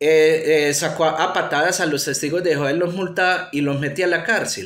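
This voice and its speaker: A man with an Antioquia accent, ordinary pitch variation and audible room echo. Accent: Colombian paisa (Antioquia). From Colombia, Antioquia. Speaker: atheism YouTuber. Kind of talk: commentary monologue. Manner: halting, many fillers.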